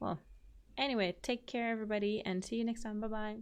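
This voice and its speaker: A woman speaks with a French accent and ordinary pitch variation. The background is quiet. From France. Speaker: gaming youtuber. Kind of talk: let's play commentary.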